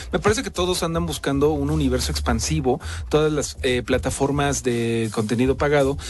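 Music plays in the background as a man talks at a fairly quick pace with very wide pitch swings. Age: 30s. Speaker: radio host. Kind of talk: casual chat.

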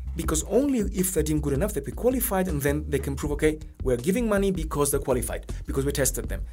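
A man speaks at a very fast pace with hardly any pauses, and room echo is audible. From Greece. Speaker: watch brand historian. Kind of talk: interview.

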